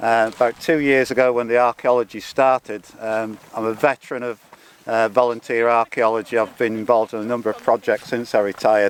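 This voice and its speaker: This man's pitch is medium and his delivery is a flat monotone at a fairly quick pace. The sound is dry and close with no echo, with noticeable background noise. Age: 60s. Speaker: retired volunteer. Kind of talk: interview. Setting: outdoors.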